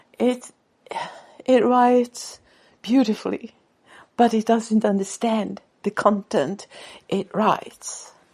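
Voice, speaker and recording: A woman with a Swedish accent, fairly high in pitch and somewhat breathy, at a very slow pace with long, frequent pauses and fairly even intonation. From Sweden. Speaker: author and podcaster. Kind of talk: casual monologue. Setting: radio show or podcast. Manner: halting.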